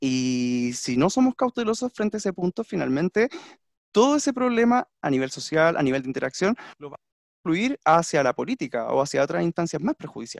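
Recorded in a dry, close sound with no echo, a man with a high pitch talks at a fairly quick pace, with very wide pitch swings and big swings in loudness. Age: 30s. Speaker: language teacher, podcast co-host. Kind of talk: casual discussion.

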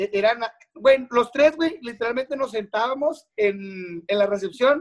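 The voice moves at a moderate pace with lively intonation. The sound is dry and close, with no echo. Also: man. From Monterrey, Mexico. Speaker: radio announcer. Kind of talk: casual chat. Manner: heavy slangy casual delivery.

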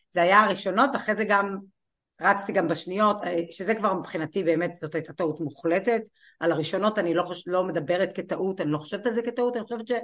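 Over a quiet background, a woman talks at a very fast pace, her medium pitch showing ordinary variation. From Israel, Kiryat Malakhi. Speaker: law professor and college president. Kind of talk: interview.

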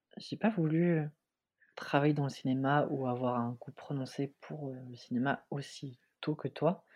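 This man has a plain, everyday voice with a fairly high pitch and speaks at a fairly slow pace. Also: ordinary pitch variation. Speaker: film student and podcast co-host. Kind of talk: casual chat.

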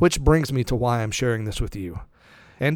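Here a man has a normal speaking voice. He talks at a fairly quick pace with lively intonation. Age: 40s. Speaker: investment radio show host. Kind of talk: personal monologue. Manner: warm and earnest.

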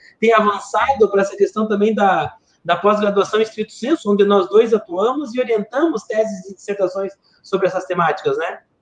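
High-pitched male speech, fairly quick in tempo and ordinary in its pitch variation. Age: 40. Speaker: podcast host, academic. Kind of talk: interview.

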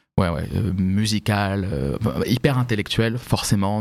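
A man with an ordinary speaking voice talks at a fairly slow pace, his fairly low pitch showing ordinary variation. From Paris region (Vincennes), France. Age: 30s. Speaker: fashion professional. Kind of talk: podcast interview.

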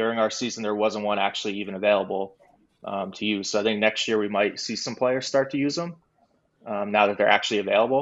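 Very fast speech from a man, fairly low in pitch, with ordinary pitch variation. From New York. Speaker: esports team coach. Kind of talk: casual interview.

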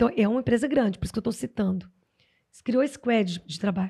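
A woman's fairly high pitch, with vocal fry and a dark, mellow tone. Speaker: HR consultant and psychologist. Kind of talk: podcast interview.

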